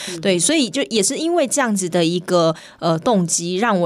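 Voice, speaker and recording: Woman with an unremarkable speaking voice, medium pitch, lively intonation and a moderate pace. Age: 20s. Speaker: swimming coach and open-water swimmer. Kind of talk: radio interview.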